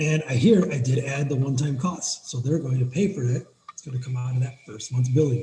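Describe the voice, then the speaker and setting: This man's voice sits fairly high for a man, somewhat breathy, with a dark, mellow tone. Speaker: business owner giving software tutorial. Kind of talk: tutorial. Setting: screen-share video recording. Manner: fast; animated.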